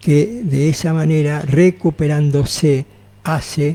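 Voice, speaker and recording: A man speaks at a fairly high pitch in a dark, mellow tone. His voice is somewhat breathy and his intonation fairly even. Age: 80s+. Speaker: naturopath. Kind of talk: radio interview.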